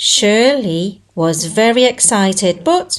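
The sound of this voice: Slowly, a woman of medium pitch speaks with big pitch swings.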